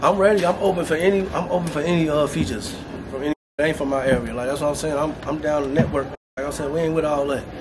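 Speaking at a very fast pace with fairly even intonation, a man with a fairly high voice is heard amid audible room echo. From Chicago, South Side. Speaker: local rapper and neighborhood member. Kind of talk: casual street interview.

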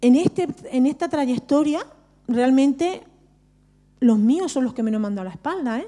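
Pausing long and often, a woman with a high pitch and a dark, mellow tone talks at a moderate pace over a quiet background. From Barcelona, Spain (Romani family of Andalusian roots). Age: 40s. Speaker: social worker and Romani activist; speaker. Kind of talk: personal testimony at a panel talk. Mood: earnest, reflective. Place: hall. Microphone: handheld.

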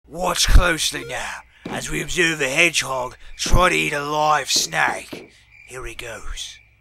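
Raspy and fairly high in pitch, a man speaks at a fairly slow pace. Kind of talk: wildlife documentary narration. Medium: machinima. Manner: hushed, measured.

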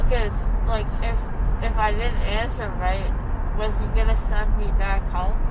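A woman talks at a fairly slow pace amid loud background noise. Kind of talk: casual groggy chat. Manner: mumbled, swollen-jaw post-surgery speech. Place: car. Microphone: phone near.

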